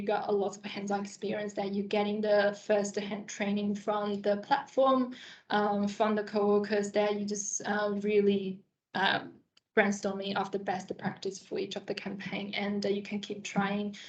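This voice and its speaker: This woman speaks at a moderate pace. Her intonation stays monotone and flat. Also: medium pitch for a woman. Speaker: marketing agency professional. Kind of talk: career talk presentation.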